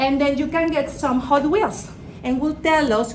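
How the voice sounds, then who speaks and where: A woman with a high pitch and ordinary pitch variation is heard through noticeable background noise and audible room echo. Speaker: business executive. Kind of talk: guest lecture. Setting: classroom with students.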